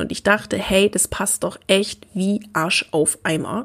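The speech moves at a very slow pace. Vocal fry runs through it. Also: woman. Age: 20s. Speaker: learning coach and podcast host. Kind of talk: personal storytelling monologue.

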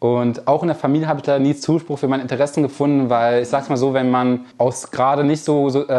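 With a plain, everyday voice, a man speaks at a fairly quick pace and with fairly even intonation. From Germany, Lower Rhine (NRW), near the Ruhr. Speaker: online marketing entrepreneur. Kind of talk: keynote talk to a live audience. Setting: stage with audience.

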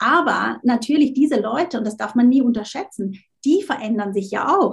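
With a normal speaking voice, a woman talks at a moderate pace, her fairly high pitch carrying lively intonation. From Switzerland. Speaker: LinkedIn marketing coach. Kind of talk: interview.

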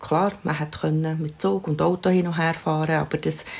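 This woman's voice is very deep and low, with ordinary pitch variation and a Swiss accent. She speaks at a moderate pace. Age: 60s. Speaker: grandmother. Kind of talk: interview.

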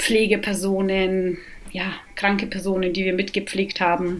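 Over noticeable background noise, a woman talks at a very slow pace with a medium pitch. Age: 40s. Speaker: recovering alcoholic, mother. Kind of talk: interview, personal testimony.

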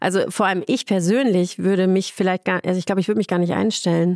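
In a very clean recording with a silent background and a dry, close sound with no echo, a woman talks in an unremarkable speaking voice with fairly even intonation. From Ruhr area, Germany. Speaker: head physician in obstetrics. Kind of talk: casual interview.

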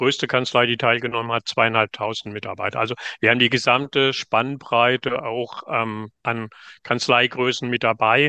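A man speaks at a moderate pace in a medium pitch, with a bright, sharp tone, monotone, flat intonation, and a dry, close sound with no echo over a quiet background. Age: 60s. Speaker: management consultant. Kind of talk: interview. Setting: virtual studio, remote recording.

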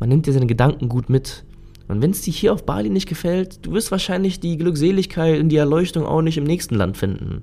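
Over music in the background, a man with a fairly high pitch speaks at a fairly quick pace with lively intonation. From Germany. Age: 30s. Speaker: podcaster. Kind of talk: solo podcast monologue. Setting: home recording in his lodging.

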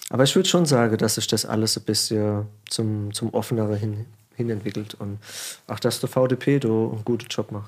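A man speaks in a normal speaking voice at a moderate pace, with medium pitch and ordinary pitch variation. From Germany, Palatinate (Pfalz). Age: 30s. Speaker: winemaker. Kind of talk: casual chat. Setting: studio.

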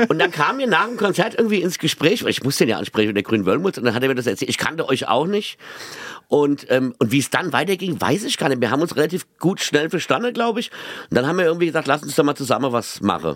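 With a Mainz accent, a man sounds animated, speaking at a very fast pace in a fairly high pitch with very wide pitch swings. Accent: Mainz dialect, noticeable. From Mainz, Rhine-Hesse. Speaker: comedian, radio host and singer. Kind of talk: casual chat. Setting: rehearsal room.

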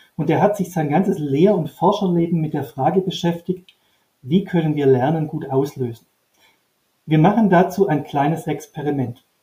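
A man's fairly high voice with a dark, mellow tone, ordinary pitch variation and a moderate pace. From Upper Swabia, southern Germany. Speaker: trainer and author. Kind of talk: interview. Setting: video call.

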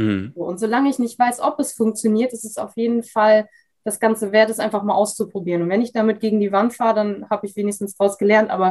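Speaking at a very fast pace, a woman has a fairly high pitch, fairly even intonation and a dark, mellow tone. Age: 20s. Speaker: Instagram freelancer. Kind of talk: interview. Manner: hesitant, many fillers.

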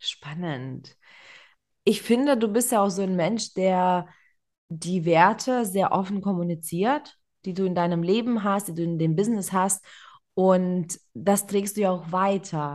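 Against a quiet background, a woman is heard. Her speech comes very slowly. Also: medium pitch for a woman, ordinary pitch variation. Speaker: podcast host. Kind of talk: interview.

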